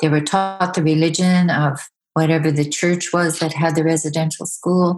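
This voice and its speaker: Her voice is fairly low for a woman, with monotone, flat intonation. She keeps a moderate pace and very even loudness. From Yukon, Canada (First Nation village). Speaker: storyteller and artist. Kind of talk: interview. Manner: hesitant, with fillers.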